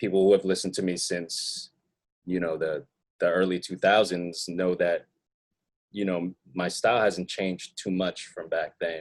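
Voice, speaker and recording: A man speaks with a very deep, low pitch at a moderate pace. His intonation is monotone and flat. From US Northeast, Queens, New York City. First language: not English. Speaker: rapper and music producer. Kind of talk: interview. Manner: hesitant, many fillers and repeated words.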